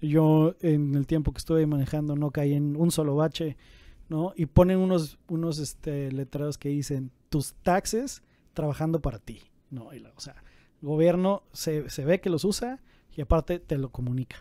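Fairly high-pitched male speech in a dark, mellow tone, at a moderate pace, with ordinary pitch variation and big swings in loudness, dry with no echo over a quiet background. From Mexico. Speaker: business podcast co-host. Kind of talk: casual explanatory chat. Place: office. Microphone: studio mic.

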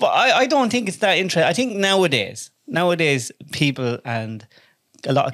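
A man in an Irish accent at a fairly quick pace, quiet background. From Ireland. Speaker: podcast host. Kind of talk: casual chat. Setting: studio with microphones. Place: studio. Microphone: studio mic.

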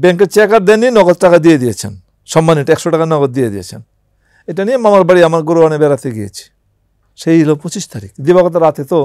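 A man speaks at a high pitch with lively intonation and big swings in loudness. The sound is dry with no echo, over a quiet background. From Bangladesh. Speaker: war veteran. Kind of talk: interview testimony. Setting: studio. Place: studio. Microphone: lapel.

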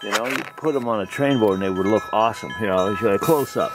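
Noticeable background noise is present. The sound is dry, with no echo. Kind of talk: casual vlog chat. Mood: pleased, enthusiastic. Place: open country. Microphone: phone near.

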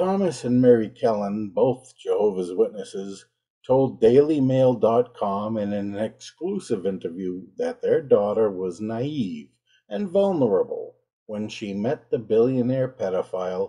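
A man's dark, mellow tone, lively intonation and fairly slow pace against a quiet background. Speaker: religion critic commentator. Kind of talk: commentary. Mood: indignant, sarcastic. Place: home room.

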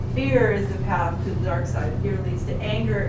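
A woman speaks at a moderate pace with audible room echo and loud background noise. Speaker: psychology instructor. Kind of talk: lecture. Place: classroom.

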